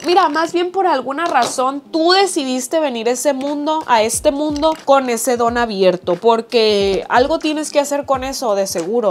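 A woman with a Mexican accent speaks in a high pitch at a moderate pace. Her tone is animated and her intonation lively. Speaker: YouTuber. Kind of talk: casual chat.

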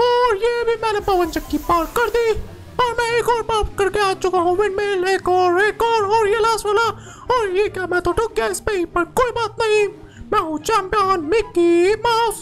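Clear background noise sits behind a put-on character voice pitched extremely high. The delivery is at a moderate pace. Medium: game stream. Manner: loud, bragging, whiny when losing.

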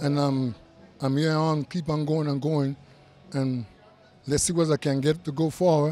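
A man at a moderate pace with fairly even intonation and a dark, mellow tone, the sound dry with no echo over light background noise. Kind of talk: interview answer. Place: hall. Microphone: handheld.

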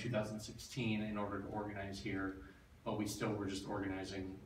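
With audible room echo, a man speaks at a moderate pace in a fairly low pitch. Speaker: guest. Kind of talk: talk to a meeting. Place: meeting room.

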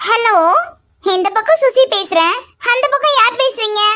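A squeaky, cartoonish character voice from a woman, extremely high in pitch, with ordinary pitch variation at a moderate pace. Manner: breezy, showy, sprinkles English words.

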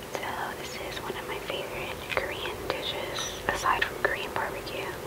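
Whispering in an American accent, the speaker uses a soothing tone. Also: woman. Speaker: ASMR creator. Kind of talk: casual talk to camera. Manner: whispered, soothing. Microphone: earbuds.

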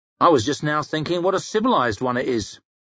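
A man puts on a growling character voice at a fairly high pitch. He speaks at a very fast pace with very wide pitch swings. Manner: sardonic, grim.

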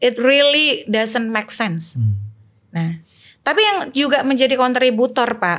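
A high-pitched woman's voice with very wide pitch swings, at a fairly slow pace against a quiet background. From Indonesia, Banten; Indonesia. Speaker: election and democracy activist; election guest. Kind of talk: political discussion. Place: studio. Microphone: studio mic.

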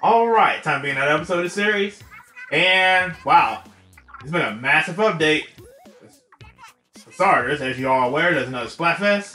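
Over music in the background, a man with a high pitch speaks at a fairly quick pace, with lively intonation, big swings in loudness, and long, frequent pauses. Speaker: gaming YouTuber. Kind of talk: casual talk to viewers.

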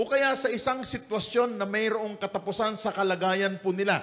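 The man's delivery moves at a moderate pace. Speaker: lead pastor. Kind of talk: sermon. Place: church. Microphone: handheld.

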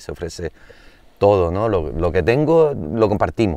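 At a moderate pace and fairly low pitch, a man speaks in a dry sound with no echo against a quiet background. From Canary Islands. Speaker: singer-songwriter; interview guest. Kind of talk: casual chat. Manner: halting. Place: open country.

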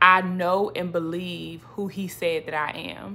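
A woman speaks at a fairly low pitch. Her tone is bright and sharp. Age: 30s. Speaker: faith vlogger. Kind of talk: personal testimony. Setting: home video recording. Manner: animated. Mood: warm, encouraging. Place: home room. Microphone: phone near.

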